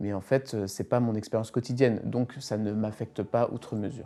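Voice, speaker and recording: A dark, mellow tone at a fairly quick pace. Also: man. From western France, Nantes area. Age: 30s. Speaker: priest. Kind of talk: documentary interview. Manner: hesitant, many fillers.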